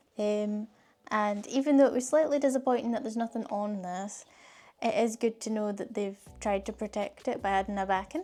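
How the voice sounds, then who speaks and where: This woman, in a Scottish accent, speaks at a fairly quick pace with a dark, mellow tone, a fairly high pitch and ordinary pitch variation. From Scotland. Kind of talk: casual unboxing talk to camera.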